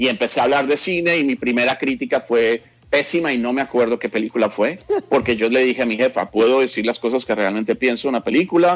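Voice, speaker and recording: With ordinary pitch variation around a medium pitch, a man talks at a very fast pace. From Colombia, Bogotá. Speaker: journalist. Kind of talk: interview.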